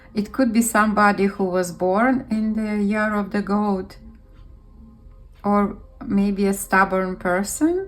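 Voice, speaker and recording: Very slow speech from a woman, long, frequent pauses, music in the background. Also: medium pitch for a woman. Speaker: tarot reader. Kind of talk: intuitive reading to camera.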